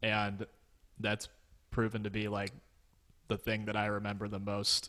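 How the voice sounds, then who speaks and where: A man talks with an American accent and a bright, sharp tone. His intonation is monotone and flat. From Pittsburgh area, US. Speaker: graphic designer. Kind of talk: casual interview.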